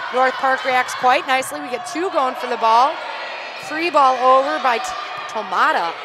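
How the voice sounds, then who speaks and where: A raised, projected voice, broken by long, frequent pauses, comes through noticeable background noise and audible room echo. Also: woman. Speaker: volleyball play-by-play commentator. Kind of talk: live commentary. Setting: courtside at a college fieldhouse with headsets. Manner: loud when play escalates; animated.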